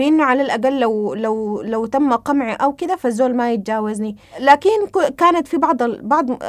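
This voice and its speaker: A woman talks at a high pitch. The background is quiet. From Sudan. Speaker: interviewee. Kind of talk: testimony. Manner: hesitant, many fillers. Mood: calm, reflective. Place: home room.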